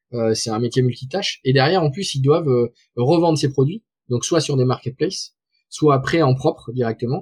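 The somewhat breathy voice has a dry, close sound with no echo. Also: man. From southwest France. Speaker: tech startup founder and CEO. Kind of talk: interview. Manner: halting, many fillers and repetitions.

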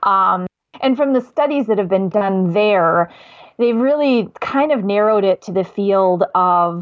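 A woman's medium-pitched voice in an Upper Midwest accent, at a moderate pace with ordinary pitch variation. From Wisconsin, US. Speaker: diabetes educator. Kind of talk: casual conversation.

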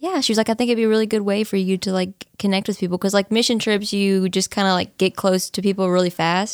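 A woman with a plain, everyday voice speaks at a medium pitch with an American accent. Her pace is fairly quick, her intonation fairly even, and the sound is dry and close with no echo. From East Texas, Nacogdoches. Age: 20s. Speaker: college student, church member. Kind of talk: casual interview, testimony.

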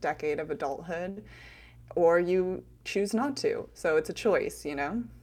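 The speech is fairly slow and marked by vocal fry. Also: woman. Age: 30s. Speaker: podcast co-host. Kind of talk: casual chat. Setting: remote recording, different states.

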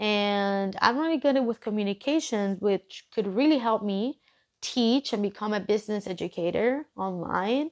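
With a Spanish accent and lively intonation, a woman speaks in a dry, close sound with no echo. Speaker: podcast host. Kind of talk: solo podcast monologue.

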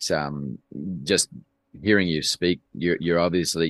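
Speaking at a moderate pace with vocal fry, a man has a very deep, low voice, recorded dry and close with no echo against a quiet background. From Canada. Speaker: financial advisor and podcaster. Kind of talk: casual interview conversation.

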